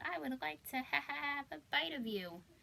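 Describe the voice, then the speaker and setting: A woman uses a put-on character voice at a medium pitch with very wide pitch swings. She keeps a moderate pace, and background noise is clearly heard. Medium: read story.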